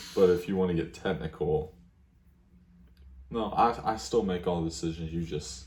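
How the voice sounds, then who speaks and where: Vocal fry runs through speech with ordinary pitch variation at a moderate pace. Long, frequent pauses break it up. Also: man, very deep, low pitch for a man. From Louisville, Kentucky. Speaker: YouTuber. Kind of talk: casual chat.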